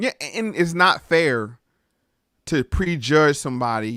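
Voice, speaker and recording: A man speaks at a fairly slow pace with a Southern US accent and ordinary pitch variation. The recording is dry and close, with no echo. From US South. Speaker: podcast host. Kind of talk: casual interview chat.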